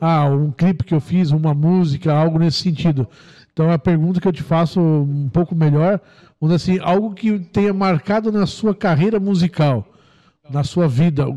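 A man's high-pitched voice with a dark, mellow tone, very even loudness, a moderate pace and ordinary pitch variation, dry and close with no echo against a quiet background. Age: 40s. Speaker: radio host. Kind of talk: interview.

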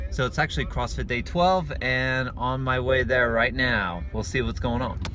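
A man talks with a very deep, low pitch. The sound is dry with no echo, and there is noticeable background noise. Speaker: fitness vlogger. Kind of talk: casual vlog chat. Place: car. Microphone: phone near.

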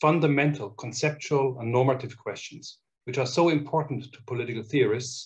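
Against a quiet background, a man talks at a moderate pace in a somewhat breathy voice with fairly even intonation. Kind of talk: formal announcement speech. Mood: warm, congratulatory. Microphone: webcam.

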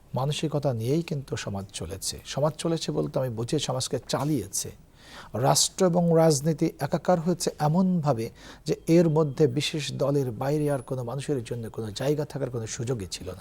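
A somewhat breathy man's voice, fairly high in pitch, with a dark, mellow tone and ordinary pitch variation. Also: very clean recording, silent background. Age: 50s. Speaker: university professor. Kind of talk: TV interview. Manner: formal.

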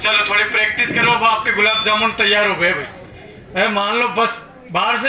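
A man speaks at a fairly slow pace with fairly even intonation, with audible room echo and light background noise. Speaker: show host. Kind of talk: comic show hosting to audience. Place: street.

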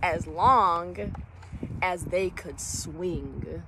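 A woman speaks in a gentle, warm tone, the sound dry with no echo but with noticeable background noise. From US Midwest, Illinois. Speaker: elementary school teacher reading a children's book aloud. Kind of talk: bedtime-style story reading aloud to children. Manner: gentle, warm, unhurried storyteller pacing; encouraging, upbeat and teacherly when addressing kids. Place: waterside. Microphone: phone near.

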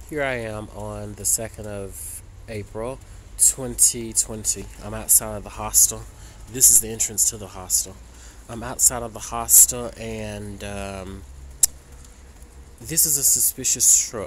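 A man with a very deep, low voice speaks at a fairly slow pace, taking long, frequent pauses. His loudness swings widely, and background noise is noticeable. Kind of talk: casual vlog chat. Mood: suspicious, worried. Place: street. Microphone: phone near.

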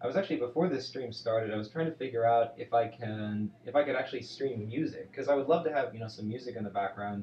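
Against audible room echo and light background noise, a man talks at a very fast pace in a somewhat breathy voice with ordinary pitch variation. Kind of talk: casual live stream chat.

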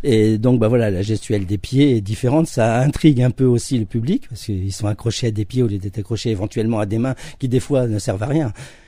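Against a quiet background with a dry sound and no echo, a man speaks at a fairly quick pace in a somewhat breathy, dark, mellow tone, with a fairly low pitch and ordinary pitch variation. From France, Charente-Maritime region (from age 11; born in Nancy); France. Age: 50s. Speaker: actor and stage director; actor. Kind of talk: radio interview. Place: studio.

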